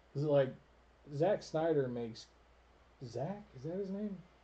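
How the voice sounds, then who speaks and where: The tone is dark and mellow, somewhat breathy. Intonation is lively and the pace moderate. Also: man. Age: 30s. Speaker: gaming channel host. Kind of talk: casual chat. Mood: relaxed, candid. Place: home room. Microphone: studio mic.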